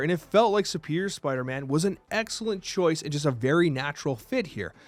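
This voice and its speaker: A man's fairly high voice with very wide pitch swings, on a very clean recording with a silent background. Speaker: gaming YouTuber. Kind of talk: game review. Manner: fast; animated.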